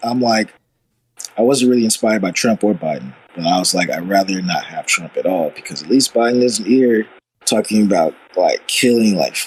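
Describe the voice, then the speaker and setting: An unremarkable speaking voice from a man with an American accent, fairly low in pitch, fairly quick in pace, with ordinary pitch variation. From US South, Arkansas (Little Rock). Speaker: electronic music artist. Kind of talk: casual chat.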